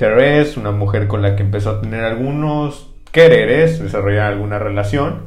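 Speaking with a Mexican accent and hardly any pauses, a man uses a fairly low pitch in a room with audible echo. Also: ordinary pitch variation, moderate pace. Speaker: history podcast host. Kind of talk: comedic history storytelling. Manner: animated.

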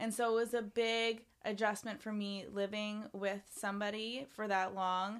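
In a very clean recording with a silent background, a woman speaks at a fairly slow pace in a fairly high pitch with monotone, flat intonation. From Canada, Ontario. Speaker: musician. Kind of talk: casual chat.

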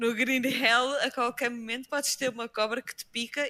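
A bright, sharp tone comes through with a dry, close sound and no echo. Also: woman. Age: 20s. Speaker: Twitch streamer. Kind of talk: casual chat.

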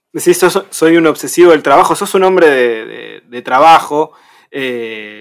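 Speaking at a fairly slow pace, the man has a plain, everyday voice, fairly high in pitch, with lively intonation. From Argentina, Buenos Aires province. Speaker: radio co-host. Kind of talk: interview.

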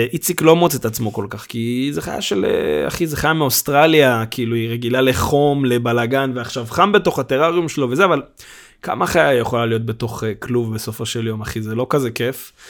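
Speaking at a moderate pace, a man has a medium pitch. His pitch varies in an ordinary way. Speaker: podcast host. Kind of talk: casual chat. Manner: loud; animated.

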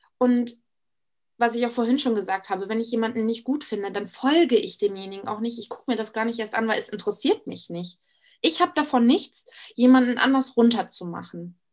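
Against a quiet background, a woman with a normal speaking voice talks at a fairly quick pace and a fairly high pitch, with big swings in loudness. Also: ordinary pitch variation. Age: 20s. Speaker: Instagram influencer. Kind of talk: casual interview chat.

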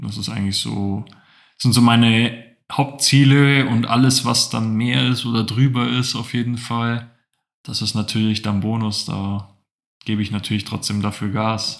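A man with an ordinary speaking voice talks at a fairly slow pace in a medium pitch with fairly even intonation. The recording is very clean, with a silent background. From Bavaria, Allgäu (Kaufbeuren). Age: 20s. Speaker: finance podcast co-host. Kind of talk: casual chat.

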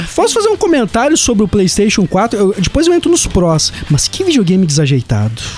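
A man's speech comes at a fairly quick pace, its loudness very even, with noticeable background noise around it. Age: 30s. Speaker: podcast co-host. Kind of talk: casual chat. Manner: halting.

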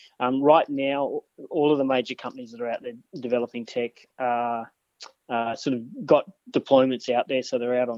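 A medium-pitched man with an Australian accent at a moderate pace. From New South Wales mid north coast, Australia. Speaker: agricultural researcher. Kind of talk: interview. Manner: hesitant, many fillers.

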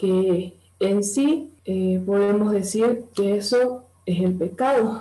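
A woman speaks with a dark, mellow tone at a medium pitch. Her voice is somewhat breathy, with fairly even intonation. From Bolivia, Santa Cruz. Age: 20s. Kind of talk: interview talk.

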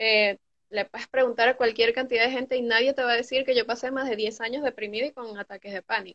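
Speaking at a fairly quick pace, a woman keeps a high pitch with fairly even intonation. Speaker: recovering addict. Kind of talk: personal testimony. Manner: loud. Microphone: connection drops.

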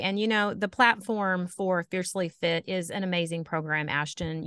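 A woman with a normal speaking voice and a fairly low pitch talks at a moderate pace, the sound dry and close with no echo over a quiet background. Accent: American. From US Midwest, southern Indiana. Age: 50s. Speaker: fitness coaching client. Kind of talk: casual interview.

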